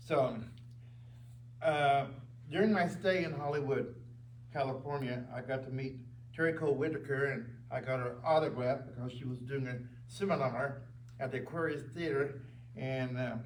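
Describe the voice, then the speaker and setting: Long, frequent pauses break up fairly even intonation, with noticeable background noise and audible room echo. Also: man, medium pitch for a man, moderate pace. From Oklahoma, US. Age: 80s+. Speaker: church elder. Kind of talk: testimony.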